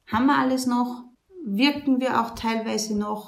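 The room gives off an audible echo. In it, a woman talks with ordinary pitch variation. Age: 20s. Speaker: nun running a women's shelter. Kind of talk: interview. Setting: on location at the women's shelter, seated.

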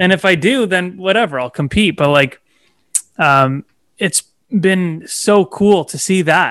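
A high-pitched man with an Ontario accent, lively intonation and a fairly slow pace, in a dry, close sound with no echo. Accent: Canadian (Ontario). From Toronto, Canada. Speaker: realtor. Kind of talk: casual interview chat.

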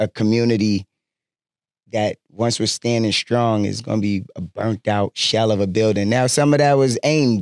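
In a dry, close sound with no echo, a man with a plain, everyday voice speaks at a medium pitch and moderate pace, with very even loudness and fairly even intonation. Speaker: guest interviewee. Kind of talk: casual chat.

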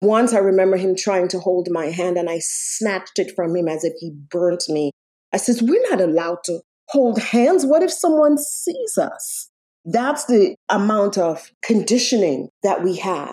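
Her pitch swings very widely around a medium level for a woman. She speaks at a fairly slow pace. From Jamaica, countryside. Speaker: domestic violence survivor, actress and singer. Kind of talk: testimony.

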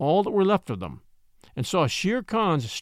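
The clip is plain reading aloud. Its intonation moves in a lively way.

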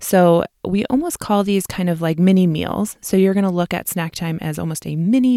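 On a very clean recording with a silent background, a woman with a Midwestern US accent speaks at a moderate pace in a fairly low pitch, her dark, mellow tone showing ordinary pitch variation in a dry, close sound with no echo. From US Midwest. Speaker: registered dietitian and podcast host. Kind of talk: educational podcast monologue, casual. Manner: friendly, conversational, with fillers.

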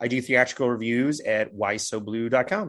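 A man speaks in an unremarkable speaking voice with an American accent. His pitch is medium, with ordinary pitch variation. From California. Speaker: film podcaster. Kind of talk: casual chat.

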